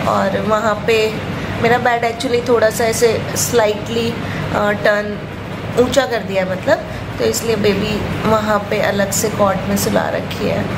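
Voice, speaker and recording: A woman talks fairly slowly as loud background noise fills the clip. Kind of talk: casual vlog chat. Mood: happy, content. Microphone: phone near.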